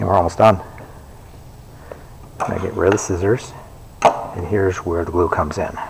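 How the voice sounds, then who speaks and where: A man's very deep, low voice at a moderate pace, fairly even in intonation, with long, frequent pauses and noticeable background noise. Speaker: librarian. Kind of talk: tutorial. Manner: casual.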